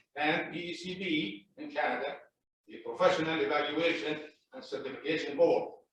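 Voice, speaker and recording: A man's fairly high voice, with big swings in loudness and audible room echo. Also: ordinary pitch variation, moderate pace. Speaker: property owner at hearing. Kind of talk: public hearing testimony. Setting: city plan commission meeting.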